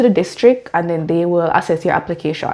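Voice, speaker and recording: Talking very fast, the woman keeps ordinary pitch variation. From Jamaica. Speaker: teacher and vlogger. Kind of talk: informational vlog.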